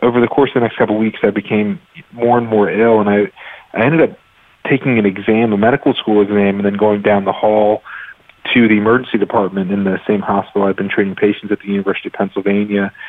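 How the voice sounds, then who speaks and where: Here a man talks at a very fast pace. His voice has a fairly low pitch. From US South, North Carolina (Raleigh). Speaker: physician and medical researcher. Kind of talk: interview. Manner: hesitant with fillers.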